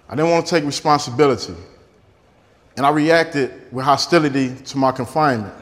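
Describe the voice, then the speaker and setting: This man's fairly high voice moves at a moderate pace with ordinary pitch variation. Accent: American. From Detroit. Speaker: former prisoner. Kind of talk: interview and talk excerpts.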